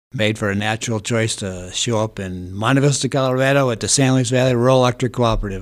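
Talking at a very fast pace with hardly any pauses, a man speaks in an American accent at a medium pitch. The intonation is fairly even, and the recording is very clean with a silent background. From Holland, Michigan. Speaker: utility executive. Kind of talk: casual interview.

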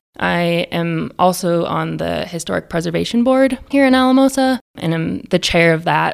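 With an American accent, the speaker keeps a moderate pace and hardly pauses. The pitch swings very widely. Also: woman, fairly low pitch for a woman. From Idaho. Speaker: architect. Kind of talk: interview.

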